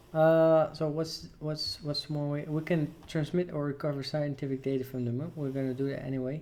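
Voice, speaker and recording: Over noticeable background noise, a man with a non-native accent speaks at a moderate pace and a fairly high pitch, his intonation fairly even. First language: not English. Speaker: gaming let's player. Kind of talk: gameplay commentary. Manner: casual, hesitant.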